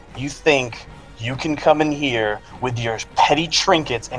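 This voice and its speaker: A man uses a put-on character voice at a medium pitch and a fairly slow pace. Clear background noise is present. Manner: menacing.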